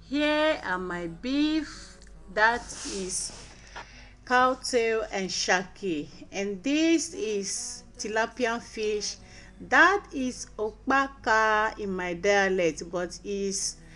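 A woman speaks at a very slow pace while faint music plays in the background. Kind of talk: tutorial. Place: kitchen. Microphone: phone near.

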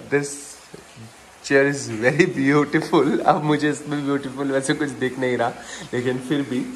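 A man talks at a fairly high pitch. Noticeable background noise runs under his voice. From Delhi, India. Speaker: vlogger. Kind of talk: casual vlog.

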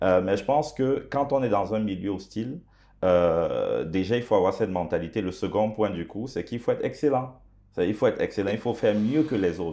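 A man speaks with an African accent at a moderate pace. His voice is fairly low, with a dark, mellow tone and ordinary pitch variation. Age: young. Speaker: pastor and entrepreneur; pastor. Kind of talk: interview. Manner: halting, many hesitations. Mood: calm, reflective. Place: studio. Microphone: lapel.

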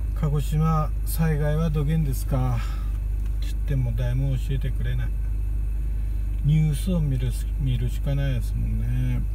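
In a Kagoshima accent, the voice moves at a moderate pace with long, frequent pauses, over light background noise in a dry sound with no echo. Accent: Kagoshima dialect of Japanese. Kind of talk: casual talk to camera. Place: car. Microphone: phone near.

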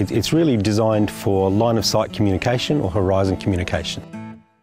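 A man with a fairly low pitch talks at a fairly quick pace with ordinary pitch variation, the sound dry with no echo and clear music playing behind him. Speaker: presenter. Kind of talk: tutorial presentation to camera. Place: open country. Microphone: lapel.

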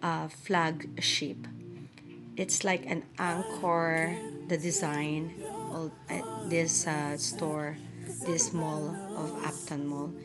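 A woman talking at a very slow pace over clear music in the background. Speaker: vlogger giving a mall tour. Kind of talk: casual vlog chat. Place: street. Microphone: phone near.

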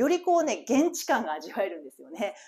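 Against a quiet background, a woman's voice shows very wide pitch swings. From Japan. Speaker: English teacher. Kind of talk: reading aloud; tutorial. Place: home room. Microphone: lapel.

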